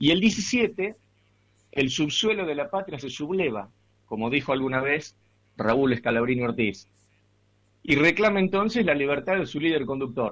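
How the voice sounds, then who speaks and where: A man's fairly high voice with very wide pitch swings and long, frequent pauses. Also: moderate pace. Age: 40s. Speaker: radio host. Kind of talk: radio interview.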